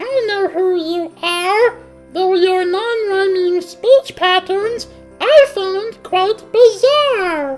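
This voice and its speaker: An extremely high-pitched cartoonish character voice speaks at a very slow pace. Clear music plays in the background. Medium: puppet.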